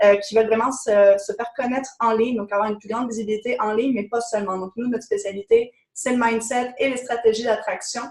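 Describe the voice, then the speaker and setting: A woman's fairly high, flat, monotone voice at a fairly quick pace, with hardly any pauses. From France. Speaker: business coach. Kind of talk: webinar presentation.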